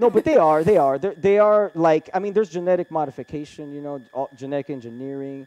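Very fast and with hardly any pauses, a man speaks at a fairly high pitch. His pitch variation is ordinary. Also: big swings in loudness. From Brazil. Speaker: podcast host on UFOs. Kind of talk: casual interview. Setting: studio. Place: studio.

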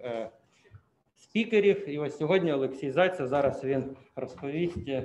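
Over light background noise, a man with a fairly high pitch speaks fairly slowly with ordinary pitch variation. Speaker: seminar chair. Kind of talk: formal introduction. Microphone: video call.

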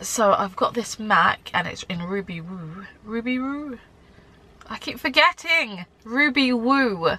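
Speaking at a very slow pace, a woman makes very wide pitch swings and big swings in loudness. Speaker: beauty vlogger. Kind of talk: casual vlog chat.

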